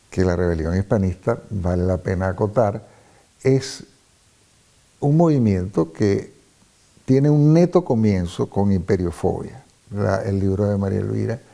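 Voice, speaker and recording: In a Venezuelan accent, a man speaks at a fairly slow pace with long, frequent pauses. His fairly low, dark, mellow voice carries lively intonation. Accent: Venezuelan, clearly non-peninsular. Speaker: hispanist, former professor. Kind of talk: interview.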